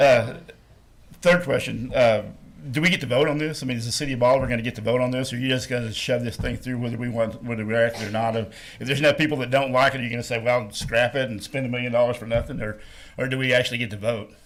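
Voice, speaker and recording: Over audible room echo, a man talks very fast at a medium pitch with fairly even intonation. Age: 60s. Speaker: resident at public comment. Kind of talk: public meeting comment. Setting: city council meeting.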